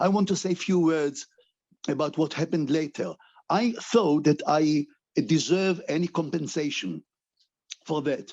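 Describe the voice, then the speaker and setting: At a fairly slow pace, a man with a high pitch and a dark, mellow tone speaks with ordinary pitch variation in a dry, close sound with no echo. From Israel. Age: 80s+. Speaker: rabbi and human rights activist. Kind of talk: panel talk. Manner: halting.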